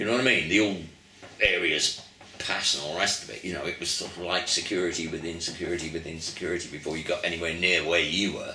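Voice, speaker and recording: A man with an English accent talks very fast in a very deep, low voice. Noticeable background noise and audible room echo are present. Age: 70s. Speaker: musician. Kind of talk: interview. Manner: animated storytelling.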